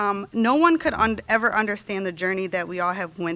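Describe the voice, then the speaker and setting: A woman talks at a fairly quick pace in a shaky voice with a bright, sharp tone. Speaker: nursing graduate. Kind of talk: graduation speech. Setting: ceremony stage with audience. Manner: shaky, emotional.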